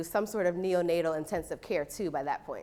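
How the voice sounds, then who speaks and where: A woman speaks at a fairly quick pace, her medium pitch moving with ordinary variation. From New York, Brooklyn. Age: 30s. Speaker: nursing professor. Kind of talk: lecture.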